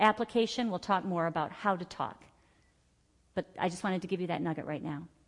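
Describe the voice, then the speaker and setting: Here is a plain, everyday voice moving at a fairly quick pace. The pitch varies in an ordinary way. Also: woman. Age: 50s. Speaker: Bible study teacher. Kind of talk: church Bible study teaching, personal healing testimony woven into scripture exposition. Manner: earnest, declarative testimony with rhythmic repeated phrases; conversational and warm, with filler words and self-corrections.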